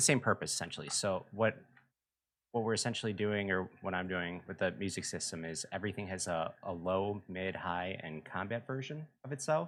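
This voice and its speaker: The recording is very clean, with a silent background. A man speaks at a fairly quick pace in a fairly low pitch with lively intonation. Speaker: game music composer streamer. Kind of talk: casual live stream chat. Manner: lethargic.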